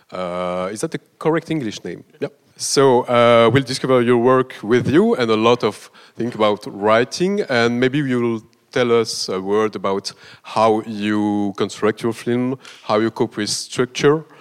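In a normal speaking voice, a man at a medium pitch talks at a fairly slow pace with ordinary pitch variation, recorded dry and close with no echo, very clean, against a silent background. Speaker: festival representative, moderator. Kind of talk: introduction of guest.

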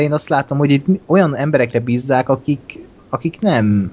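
With a plain, everyday voice, a man speaks at a moderate pace, fairly high in pitch and with lively intonation. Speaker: podcast co-host. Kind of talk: casual chat.

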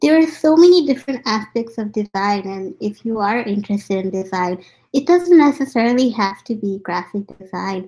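A woman speaks at a moderate pace in a fairly high, somewhat breathy voice. Her pitch swings very widely. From India. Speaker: graphic designer. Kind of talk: interview.

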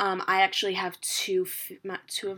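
A bright, sharp tone with lively intonation and an American accent, spoken at a moderate pace. The recording is very clean, with a silent background. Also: woman. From New York. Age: 20s. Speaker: podcast host. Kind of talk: solo monologue. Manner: casual, filler-heavy.

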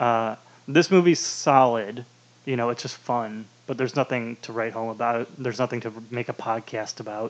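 A man's normal speaking voice at medium pitch, moderate in pace, with fairly even intonation. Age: 20s. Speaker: podcast co-host. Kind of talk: casual chat.

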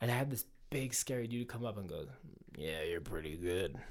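At a moderate pace, a man with a medium pitch talks with lively intonation. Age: 30s. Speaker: singer in a band. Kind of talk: casual chat. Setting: studio. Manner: animated.

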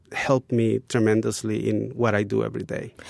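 Recorded very cleanly against a silent background, a man with a Spanish accent speaks in fairly even intonation, the sound dry and close with no echo. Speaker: graphic designer. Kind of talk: interview.

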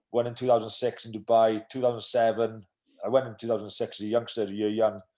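In a Welsh accent, a man speaks at a medium pitch. His tone is dark and mellow, and the background is quiet. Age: 30s. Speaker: professional rugby player. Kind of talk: casual interview. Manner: hesitant, many fillers.

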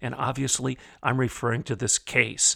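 Over a very clean recording with a silent background, a man speaks at medium pitch with vocal fry. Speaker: opinion columnist and podcast host. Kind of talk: angry rant, fiery political commentary. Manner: indignant, forceful, sarcastic, preacher-like cadence.

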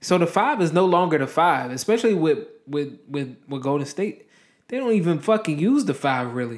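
His voice swings very widely in pitch. The man is pitched fairly high. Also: moderate pace. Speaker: podcast host. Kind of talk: casual solo rant.

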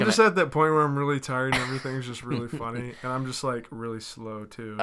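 Over noticeable background noise, a man speaks at a very fast pace and medium pitch, with ordinary pitch variation and big swings in loudness. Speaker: podcast co-host.

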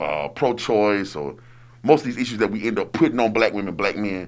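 A man talks at a medium pitch and moderate pace with lively intonation and vocal fry. The recording is very clean, with a silent background. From Alabama. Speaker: songwriter. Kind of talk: casual chat. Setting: studio.

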